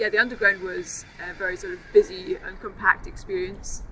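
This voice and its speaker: There is a woman speaking in a Dundee accent. Noticeable background noise sits behind her. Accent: Scottish (Dundee). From Scotland, Dundee. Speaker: mental health service user. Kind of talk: interview. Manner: halting, many fillers.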